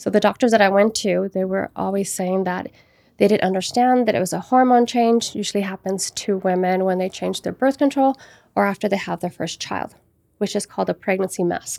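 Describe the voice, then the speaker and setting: A dark, mellow tone comes through at a fairly quick pace with ordinary pitch variation, recorded very cleanly against a silent background in a dry, close sound with no echo. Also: woman, medium pitch for a woman. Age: 40s. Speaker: mother of the host, sharing health experiences. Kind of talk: casual interview chat.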